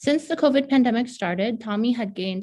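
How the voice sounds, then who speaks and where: A woman speaks at a fairly quick pace. Her tone is dark and mellow, and somewhat breathy. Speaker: pediatric health provider. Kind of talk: reading aloud a prepared narrative.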